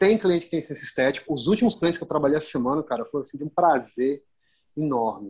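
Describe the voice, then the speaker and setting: A man talks at a very fast pace in a fairly high pitch with lively intonation. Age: 30s. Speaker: fashion photographer. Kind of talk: casual chat.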